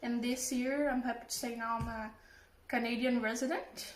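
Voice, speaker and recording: With a Portuguese accent, a woman speaks at a fairly slow pace in a high pitch, amid noticeable background noise and audible room echo. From Brazil. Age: 20s. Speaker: home cook. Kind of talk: self-introduction.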